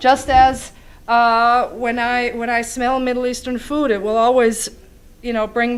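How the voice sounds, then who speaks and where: Noticeable noise sits behind a speaker with an American accent who talks fairly slowly. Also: woman. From US, Chicago. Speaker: public speaker. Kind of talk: Q&A after a talk. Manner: halting.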